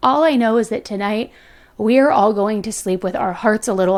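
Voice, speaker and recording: A woman's put-on character voice, raspy and fairly high-pitched. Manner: somber, mournful.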